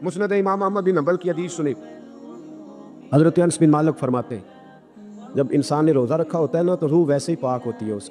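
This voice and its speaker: The intonation is lively. Music plays in the background. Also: man, fairly high pitch for a man. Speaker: Islamic preacher giving a sermon. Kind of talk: religious sermon with storytelling. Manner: emphatic, rhetorical, quoting poetry.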